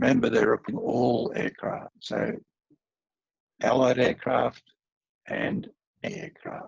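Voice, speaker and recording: A man with an Australian accent speaks at a very slow pace, leaving long, frequent pauses, in a dry, close recording with no echo. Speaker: aviation historian. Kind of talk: history presentation. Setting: video call.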